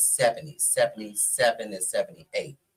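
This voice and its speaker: Fairly quick speech from a man in an American accent. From Washington DC (Southeast/Southwest). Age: 60s. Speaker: go-go scene figure, podcast guest. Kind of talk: casual interview storytelling.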